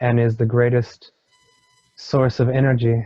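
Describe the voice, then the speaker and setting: Over music in the background, a man speaks at a very slow pace with a medium pitch. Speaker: hypnosis regression client. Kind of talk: hypnosis regression session, channeled spiritual teaching. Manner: slow, measured, pausing, channeling a wise being.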